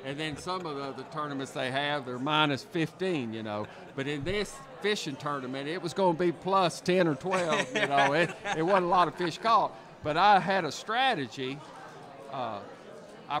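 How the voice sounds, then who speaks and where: Man with a fairly high pitch and lively intonation at a moderate pace, amid noticeable background noise. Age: 60s. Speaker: professional bass angler. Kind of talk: casual chat. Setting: live event broadcast.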